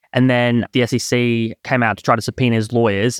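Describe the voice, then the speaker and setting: Talking at a very fast pace, a man with an Australian accent and medium pitch is heard in a very clean recording with a silent background and a dry, close sound with no echo. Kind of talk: casual chat.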